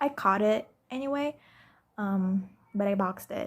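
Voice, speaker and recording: A woman with a fairly high, somewhat breathy voice speaks at a very slow pace, with ordinary pitch variation. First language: non-English. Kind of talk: casual talk to camera. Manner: hesitant, rambling.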